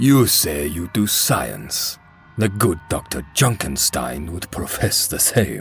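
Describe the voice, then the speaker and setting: Someone speaks in a put-on character voice at a fairly slow pace. Clear music plays in the background. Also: man, very deep, low pitch for a man. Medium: fan dub. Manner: dry, terse.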